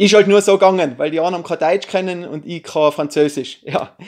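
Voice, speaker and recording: Someone speaks at a moderate pace in a Tyrolean accent. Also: man. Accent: Tyrolean Austrian German. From Austria, Tyrol. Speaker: YouTuber, film reviewer. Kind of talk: casual vlog review. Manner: casual, hesitant with fillers.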